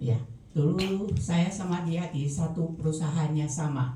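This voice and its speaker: A fairly slow pace amid audible room echo and noticeable background noise. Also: woman. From Taiwan. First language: Chinese (Taiwan) (speaking Indonesian). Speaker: product user giving testimony. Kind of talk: testimony.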